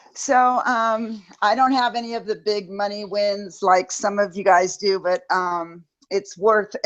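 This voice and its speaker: A woman with a normal speaking voice talks at a moderate pace, her medium pitch moving with ordinary pitch variation. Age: 60s. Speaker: pet resort business owner. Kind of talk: testimony.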